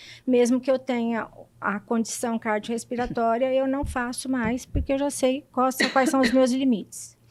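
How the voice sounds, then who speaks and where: A woman's high-pitched voice, monotone and flat in intonation, at a fairly slow pace. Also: very clean recording, silent background. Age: 60s. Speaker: patient sharing her story. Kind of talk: testimony. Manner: halting, with repetitions.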